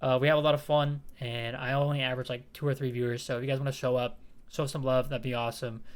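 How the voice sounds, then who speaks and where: A man talks at a very fast pace in a monotone, flat intonation. His pitch sits at a medium level. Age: 20s. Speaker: gaming youtuber and streamer. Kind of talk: tutorial. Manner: casual.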